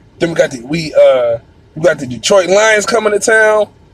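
A man with an American accent talks in an animated tone, his pitch swinging very widely over noticeable background noise. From Buffalo, New York. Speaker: podcast host. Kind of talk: casual solo sports commentary.

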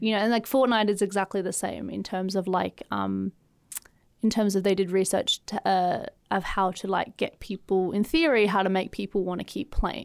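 With a dry, close sound and no echo, a woman talks in an Australian accent. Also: medium pitch for a woman, ordinary pitch variation, moderate pace, very clean recording, silent background. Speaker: podcast host. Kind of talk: casual chat.

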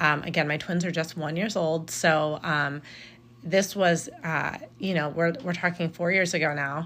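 Her voice is an ordinary speaking voice, with a fairly low pitch for a woman. She speaks at a fairly slow pace with fairly even intonation. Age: 30s. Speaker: podcast host and blogger. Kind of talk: solo podcast monologue. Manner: casual, with frequent fillers.

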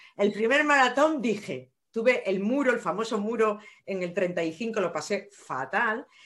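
A woman with an ordinary speaking voice, fairly high in pitch, lively in intonation and fairly slow in pace. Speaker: nurse and running coach. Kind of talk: casual interview.

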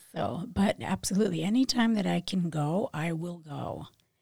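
A woman speaks with lively intonation in a fairly low, somewhat breathy voice with a dark, mellow tone, recorded dry and close with no echo. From Philadelphia, moved from Puerto Rico at five or six. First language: Spanish. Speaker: realtor and nursing professor. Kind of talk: casual interview chat. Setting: studio.

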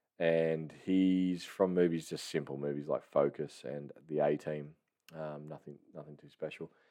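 A man's very deep, low voice in an Australian accent, dark and mellow, fairly slow and monotone, with big swings in loudness. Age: 30s. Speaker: movie review podcaster. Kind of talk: casual solo monologue. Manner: halting, many fillers and restarts.

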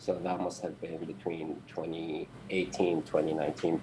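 A man with an Arabic accent speaks very slowly in a very deep, low, monotone voice. Background noise is noticeable. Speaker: IT worker, old friend of host. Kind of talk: casual chat. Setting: video call.

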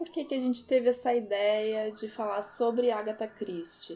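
A woman speaks over music in the background. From Brazil, Porto Alegre. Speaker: podcast co-host. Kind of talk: casual chat.

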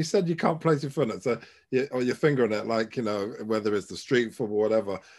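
In a very clean recording with a silent background, this man speaks at a very fast pace. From Ghana. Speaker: podcast host. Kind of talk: casual chat.

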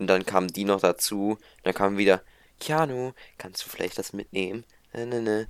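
Very clean recording with a silent background, a man at a moderate pace, his pitch varying in an ordinary way. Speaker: podcast co-host. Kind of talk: casual chat. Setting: home recording at PC. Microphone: new microphone.

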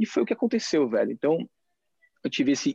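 A man talks at a very fast pace, with a dry, close sound and no echo. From Brazil. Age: 30s. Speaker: entrepreneur and retreat coach. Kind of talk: casual interview. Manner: animated.

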